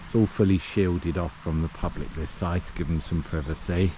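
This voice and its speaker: Over noticeable background noise, the speech comes at a fairly slow pace with a relaxed tone and ordinary pitch variation. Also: man. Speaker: travel vlogger. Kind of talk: walking tour vlog narration. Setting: outdoors. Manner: casual, relaxed.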